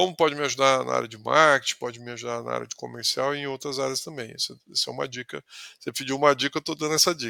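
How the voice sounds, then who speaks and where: Recorded dry and close with no echo, a man speaks very fast with big swings in loudness. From interior of São Paulo state, Brazil (Ribeirão Preto region). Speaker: sales executive. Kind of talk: casual interview conversation. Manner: halting, with frequent word repetitions.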